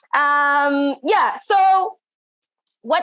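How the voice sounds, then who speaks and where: Here a woman is speaking. She has an East African accent. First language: Swahili. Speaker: event host. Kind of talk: live event hosting. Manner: casual, searching for words.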